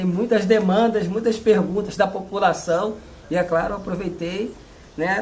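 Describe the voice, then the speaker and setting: A man speaks at a moderate pace in a high pitch with fairly even intonation. There is noticeable background noise. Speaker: community interviewer. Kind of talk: casual talk to camera.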